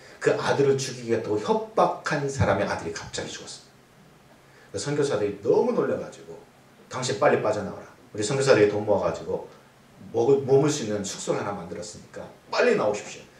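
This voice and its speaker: A man talks at a very fast pace in a fairly high pitch, with very wide pitch swings, big shifts in loudness and audible room echo. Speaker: guest preacher, seminary professor. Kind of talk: sermon.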